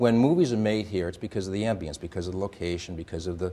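A man's fairly low voice with an American accent and fairly even intonation. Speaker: TV talk show host. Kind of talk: TV talk show. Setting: studio.

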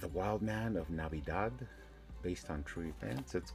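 The speaking tempo is moderate. Behind it, clear music can be heard. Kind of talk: casual collection tour chat. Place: home room. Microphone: phone near.

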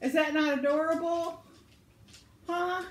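A woman with an Arkansas accent and a warm tone in audible room echo. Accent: Southern US (Arkansas). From Arkansas, US South. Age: 70s. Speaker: vlogger, crafter. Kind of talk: elder life story, reminiscing about childhood (ditch, boat play) in a folksy tone. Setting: video vlog, home. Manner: warm, chatty, homespun, laughs often, meandering; cheerful, rambling. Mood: warm, cheerful. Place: home room. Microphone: phone near.

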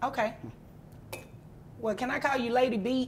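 A woman speaks at a moderate pace with a fairly high pitch. Her intonation stays fairly even.

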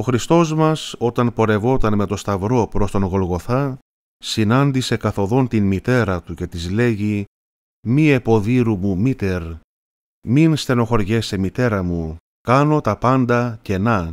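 A man with an unremarkable speaking voice talks at a fairly slow pace with ordinary pitch variation on a very clean recording with a silent background. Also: fairly low pitch for a man, dry, close sound with no echo. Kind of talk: religious catechism talk. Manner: formal.

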